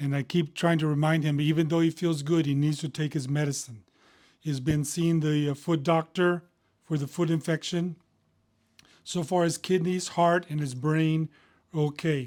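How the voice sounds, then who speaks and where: Spoken at a moderate pace with an American accent, the voice is monotone and flat, captured in a very clean recording against a silent background. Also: man, fairly high pitch for a man. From Texas, Houston. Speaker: physician. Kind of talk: casual medical explainer. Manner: conversational with frequent fillers.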